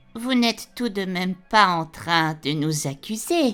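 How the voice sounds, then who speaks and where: Music plays behind a woman doing a put-on character voice at medium pitch. Her pace is fairly slow and her intonation lively. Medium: audio drama. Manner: sardonic, biting.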